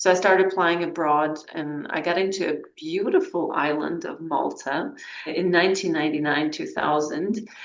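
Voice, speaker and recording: A woman's fairly low voice at a moderate pace with ordinary pitch variation, noticeable background noise and audible room echo. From Armenia, Yerevan. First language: Armenian. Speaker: climate change specialist, author. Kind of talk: interview.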